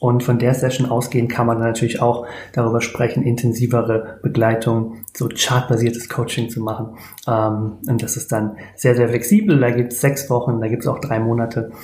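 Monotone, flat intonation from a man at medium pitch and moderate pace, with audible room echo and noticeable background noise. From Germany, near Speyer (Palatinate). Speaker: human design coach. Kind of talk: podcast interview.

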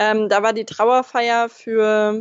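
A woman's fairly high-pitched voice. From Lower Saxony, Germany (Braunschweig). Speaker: football fan and club supporting member. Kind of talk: casual chat.

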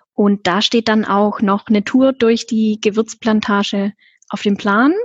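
Against a quiet background, a woman speaks somewhat breathily at a fairly slow pace and a fairly high pitch, with ordinary pitch variation and a dry, close sound with no echo. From Swabia, southern Germany. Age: 20s. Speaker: travel agency consultant. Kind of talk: interview about travel.

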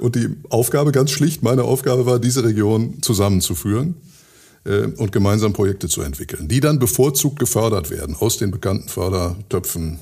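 Over a silent background on a very clean recording, a man with a fairly low, dark, mellow and somewhat breathy voice speaks at a moderate pace with lively intonation. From Ruhr area, Germany (Hattingen), teen years in Switzerland. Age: 60s. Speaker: mayor. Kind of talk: interview.

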